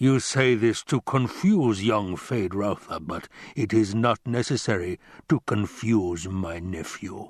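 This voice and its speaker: In a put-on character voice, a man rumbles at a fairly low pitch. He goes at a fairly slow pace against a quiet background. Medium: read story. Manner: gloating, florid.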